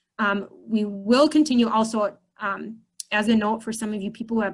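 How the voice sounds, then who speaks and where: A woman at a moderate pace, an ordinary speaking voice. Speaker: church youth ministry leader. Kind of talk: online orientation meeting. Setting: video call.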